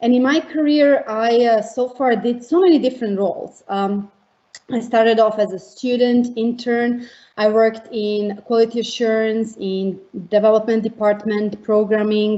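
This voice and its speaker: A woman with a Montenegrin accent speaks at a moderate pace, fairly high in pitch with fairly even intonation. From Montenegro. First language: Montenegrin/Serbian. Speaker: tech education team leader. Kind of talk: panel introduction.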